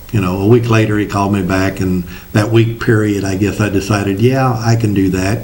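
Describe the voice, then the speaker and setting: A man's fairly low voice with a Midwestern US accent and fairly even intonation, with noticeable background noise and audible room echo. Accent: rural Midwestern American. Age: 60s. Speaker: state legislator. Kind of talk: interview. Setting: studio.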